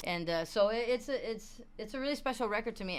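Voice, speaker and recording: A woman talks very fast with a Spanish accent. Her intonation is lively. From Puerto Rico. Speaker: singer and rapper. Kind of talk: interview. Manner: casual, filler-heavy.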